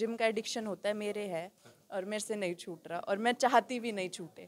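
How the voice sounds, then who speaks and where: Her pitch medium and her intonation fairly even, a woman speaks at a moderate pace with a strong Haryanvi accent. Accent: thick Rohtak Haryanvi. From Haryana, Rohtak. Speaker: dancer and fitness enthusiast. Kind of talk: interview at salon opening. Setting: salon opening event.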